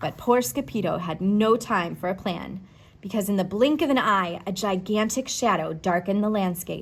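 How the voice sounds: The pitch moves with ordinary variation. It is a natural reading voice.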